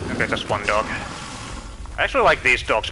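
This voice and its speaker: There is noticeable background noise. Over it, a man talks with a Finnish accent. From Finland. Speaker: video game streamer. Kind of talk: live gameplay commentary.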